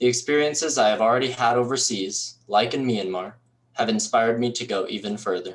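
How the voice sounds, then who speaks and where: At a moderate pace, a man speaks in an unremarkable speaking voice of medium pitch with ordinary pitch variation. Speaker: university student, scholarship recipient. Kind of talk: prepared speech. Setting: recorded for virtual event. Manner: formal.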